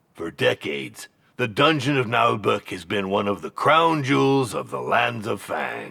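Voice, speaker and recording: Put-on character voice from a man, medium pitch, moderate pace. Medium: video game. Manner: pompous, salesman-like.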